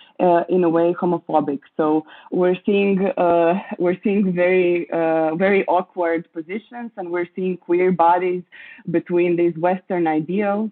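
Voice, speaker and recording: In a Croatian accent, a woman speaks with a fairly low pitch and a monotone, flat intonation. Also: fairly slow pace. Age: 20s. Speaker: curator, writer. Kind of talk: interview. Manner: halting.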